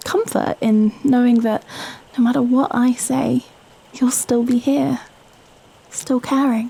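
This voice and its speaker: A woman with a British accent speaks at a fairly slow pace in a high voice with ordinary pitch variation, and there is noticeable background noise. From Britain. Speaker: ASMR performer. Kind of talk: girlfriend ASMR script reading, intimate late-night talk. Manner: soft, intimate, hesitant, wholesome.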